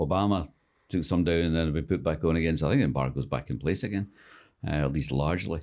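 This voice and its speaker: A man speaks very fast in a Scottish accent, his very deep, low voice showing vocal fry and ordinary pitch variation. The background is quiet. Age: 60s. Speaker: author and screenwriter. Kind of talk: casual interview chat. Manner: halting, many fillers.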